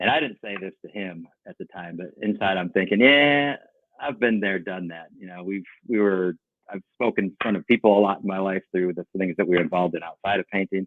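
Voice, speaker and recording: A man's very deep, low voice at a fairly quick pace, with ordinary pitch variation and big swings in loudness. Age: 60s. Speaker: painting company owner. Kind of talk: podcast interview.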